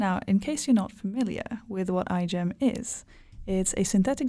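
A woman speaks with a dark, mellow tone. The recording is very clean and the background silent. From Hungary. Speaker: student podcast co-host. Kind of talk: scripted intro; casual podcast chat.

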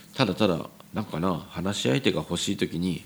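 Very deep and low in pitch, a man's voice shows ordinary pitch variation. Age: 40s. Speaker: restaurant owner. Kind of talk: solo podcast monologue. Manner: casual, hesitant with many fillers.

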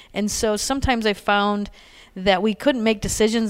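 This very clean recording has a silent background, with a woman at medium pitch and a moderate pace. She has an American accent and an ordinary speaking voice. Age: 40s. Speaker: college athletic director. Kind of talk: interview.

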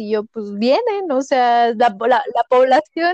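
A woman speaks at a very slow pace with a high pitch and very wide pitch swings. The sound is dry and close, with no echo. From Mexico, Toluca. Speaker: doctor. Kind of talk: casual chat.

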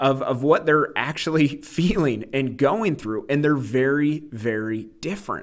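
Here is a man with a plain, everyday voice, fairly high in pitch. He talks at a moderate pace in a very clean recording with a silent background. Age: 30s. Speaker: podcast host discussing books. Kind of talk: book discussion monologue.

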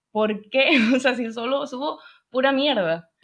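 Lively intonation in a high female voice. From Canary Islands (Tenerife). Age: 20s. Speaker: film and acting student, video editor. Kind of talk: interview.

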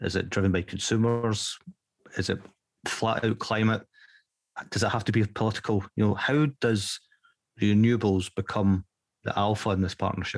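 A man with a Scottish accent speaks with very even loudness and long, frequent pauses, in a dry, close sound with no echo. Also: fairly low pitch for a man, fairly even intonation, moderate pace. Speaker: podcast host. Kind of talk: interview.

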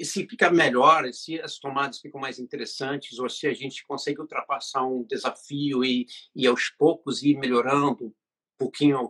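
A man with an unremarkable speaking voice talks at a fairly slow pace with big swings in loudness, the sound dry and close with no echo. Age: 50s. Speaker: web series director. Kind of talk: interview.

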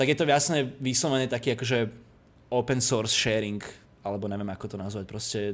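This man talks at a very fast pace. His pitch is medium, with ordinary pitch variation. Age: 20s. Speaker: architectural visualization studio owner. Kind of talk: casual interview. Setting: Skype call. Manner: talkative.

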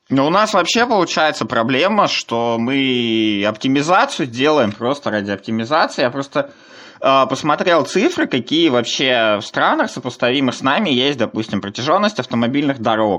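A man's bright, sharp tone comes through as he talks at a moderate pace. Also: medium pitch for a man, lively intonation. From Komi Republic, Russia. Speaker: podcast host. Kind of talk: casual chat.

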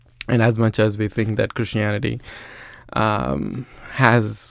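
With vocal fry and a medium pitch, a man speaks at a fairly slow pace in a very clean recording with a silent background. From India (Andhra Pradesh). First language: Telugu. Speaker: engineer and church teacher. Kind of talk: casual interview. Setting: studio.

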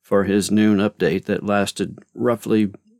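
Recorded very cleanly against a silent background, a man talks at a moderate pace in an ordinary speaking voice. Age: 50s. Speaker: podcast host and author. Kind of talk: casual monologue. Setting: home closet studio.

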